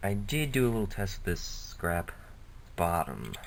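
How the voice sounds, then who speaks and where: A soft-spoken man at a fairly slow pace. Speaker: hobbyist model builder. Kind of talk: casual workshop vlog. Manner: quiet, soft-spoken; hesitant, filler-heavy.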